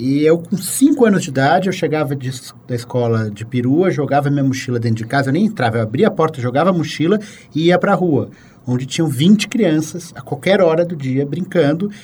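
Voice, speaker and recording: A man with a fairly high, somewhat breathy voice speaks at a fairly quick pace. His intonation is lively. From Brazil, São Paulo. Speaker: writer, columnist. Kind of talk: casual interview conversation.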